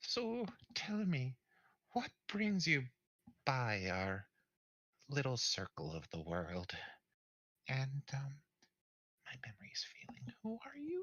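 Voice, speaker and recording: Someone speaks in a put-on character voice at a low-to-middle pitch, moving fairly slowly with long, frequent pauses. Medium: actual play. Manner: doting, rambling.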